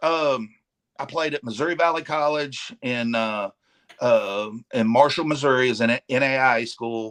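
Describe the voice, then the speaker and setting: In a Southern US accent, a man speaks at a moderate pace and medium pitch with ordinary pitch variation. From Arkansas. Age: 50s. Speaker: professional wrestler. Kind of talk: casual chat. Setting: live stream.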